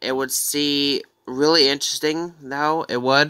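His tone comes across bright and sharp, and the background around the man is quiet. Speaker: gaming fan vlogger. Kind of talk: casual reaction commentary. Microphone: phone near.

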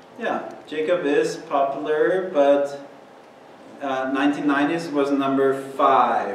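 Against light background noise and audible room echo, a man speaks in a fairly high pitch. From Austria. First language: German. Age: 30s. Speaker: university professor. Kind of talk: lecture. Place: classroom.

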